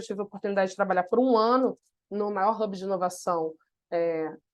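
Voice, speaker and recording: With a Carioca accent, a woman speaks in fairly even intonation. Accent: Carioca (Rio). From Brazil, Rio de Janeiro (north zone, Méier). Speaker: innovation consultant, webinar presenter. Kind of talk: webinar presentation. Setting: online webinar.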